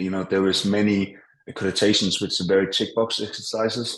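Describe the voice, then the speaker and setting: This man speaks with a Danish accent. His pitch is fairly low, and his intonation is monotone and flat. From Denmark. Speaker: business owner. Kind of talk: interview. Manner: hesitant, many fillers.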